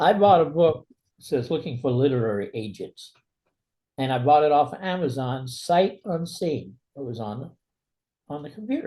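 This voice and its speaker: A man's fairly high voice with a dark, mellow tone, somewhat breathy, in an American accent, at a moderate pace with lively intonation and long, frequent pauses. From New York City, Brooklyn. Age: 80s+. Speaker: author. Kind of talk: interview.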